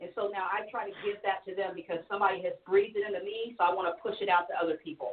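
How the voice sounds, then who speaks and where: In an American accent, a woman talks at a very fast pace with hardly any pauses and fairly even intonation. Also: medium pitch for a woman. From US Midwest, Missouri. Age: 50s. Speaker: singer. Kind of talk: casual chat.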